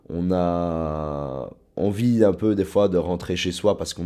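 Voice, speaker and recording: A man's very deep, low voice with a dark, mellow tone, in a very clean recording with a silent background. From southern Luxembourg province, Belgium. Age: 20s. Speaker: university student. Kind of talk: personal testimony interview. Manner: hesitant, with fillers and repetitions.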